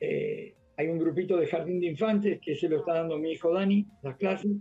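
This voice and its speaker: A high-pitched man with an Argentine accent, fairly quick and fairly even in intonation, with music in the background. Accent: Rioplatense Argentine Spanish. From Argentina, Buenos Aires (Floresta). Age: 60s. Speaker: physical education teacher. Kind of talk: radio interview.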